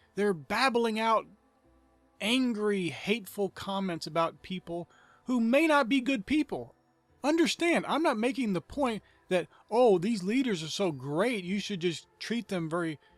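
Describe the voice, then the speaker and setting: Backed by music, a man with an American accent and a high voice talks at a fairly slow pace with very wide pitch swings, the sound dry and close with no echo. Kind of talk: sermon-style talk to camera.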